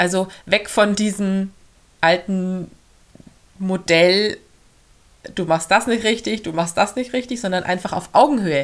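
A woman's medium-pitched voice with a slight Swabian accent, ordinary pitch variation, a fairly slow pace and long, frequent pauses. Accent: slight Swabian undertone. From Augsburg, Bavarian Swabia, Germany. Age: 30s. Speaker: family coach and mother. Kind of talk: podcast interview.

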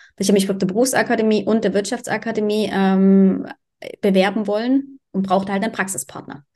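A woman's dark, mellow voice at medium pitch, moving at a fairly quick pace. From eastern Germany, Dresden. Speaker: podcast co-host. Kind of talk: casual chat.

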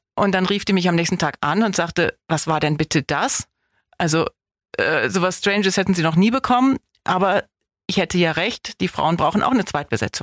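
An ordinary speaking voice moves at a fairly quick pace with ordinary pitch variation and very even loudness, the sound dry and close with no echo. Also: woman, medium pitch for a woman. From northern Germany, Osnabrück district. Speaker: actress and film festival director. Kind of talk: casual interview.

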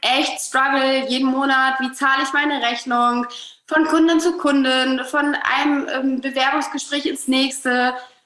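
Raising and projecting her high voice, a woman speaks at a fairly slow pace with fairly even intonation and very even loudness, amid noticeable background noise and audible room echo. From northern Germany, Hamburg. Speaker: relationship coach. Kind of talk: podcast interview.

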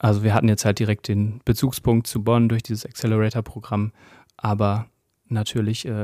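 A man speaks at a moderate pace in a flat, monotone way. The sound is dry and close, with no echo. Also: very clean recording, silent background. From Westphalia, Germany (Gütersloh). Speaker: startup founder. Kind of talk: interview. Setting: company office.

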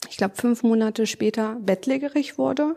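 A woman in a normal speaking voice. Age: 30s. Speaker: nurse with rheumatism, patient guest. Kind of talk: personal testimony interview.

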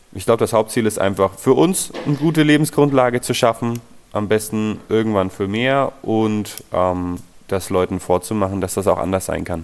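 Speaking at a moderate pace, a man with a fairly low pitch and ordinary pitch variation has a plain, everyday voice. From Nuremberg, Franconia (Bavaria). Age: 20s. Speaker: plumber and heating installer, co-founder of a collective business. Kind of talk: interview.

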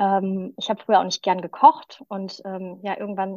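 Her pitch is medium and her pace moderate as the woman speaks. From Düsseldorf, western Germany. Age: 30s. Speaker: vegan nutrition consultant. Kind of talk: podcast interview.

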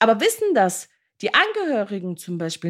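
A woman speaks in an animated tone at a moderate pace in a very clean recording with a silent background. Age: 30s. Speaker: podcast host, care worker. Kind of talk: podcast monologue.

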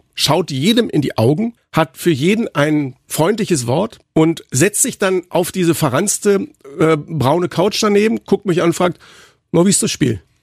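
Speaking at a fairly slow pace, a man with a high pitch uses very wide pitch swings, heard in a very clean recording with a silent background and a dry, close sound with no echo. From Berlin, Germany. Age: 50s. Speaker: football commentator, podcast co-host. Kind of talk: casual chat. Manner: animated.

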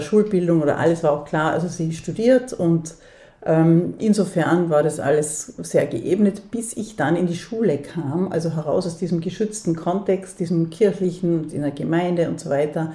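A woman speaks at a moderate pace in a fairly low, somewhat breathy voice with a dark, mellow tone. Her pitch varies in an ordinary way. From Austria, Vorarlberg (Dornbirn). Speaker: theatre director and feminist activist. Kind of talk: interview. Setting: at her home.

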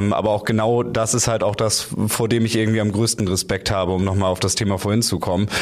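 A man's fairly low, monotone voice with flat intonation, very fast pace and very even loudness over noticeable background noise. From North Frisia, Schleswig-Holstein. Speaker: radio journalist and firefighter trainee. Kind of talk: interview. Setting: studio. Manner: hesitant fillers.

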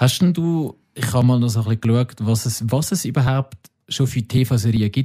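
A man's somewhat breathy voice at medium pitch, dark and mellow in tone, with ordinary pitch variation, a fairly quick pace, and a dry, close sound with no echo. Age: 30s. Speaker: podcast co-host. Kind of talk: casual chat.

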